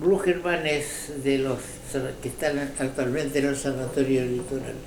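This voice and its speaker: A man at a fairly high pitch and fairly slow pace, fairly even in intonation, with audible room echo and noticeable background noise. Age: 80s+. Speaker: political commentator. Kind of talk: opinion commentary monologue. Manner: halting.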